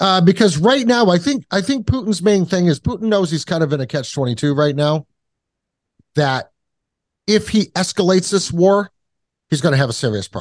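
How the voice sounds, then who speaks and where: With long, frequent pauses, a man speaks at a high pitch in a dry, close sound with no echo. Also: lively intonation, fairly quick pace. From New England, born in Kentucky. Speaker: podcast host guest. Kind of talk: casual chat. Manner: loose, profane.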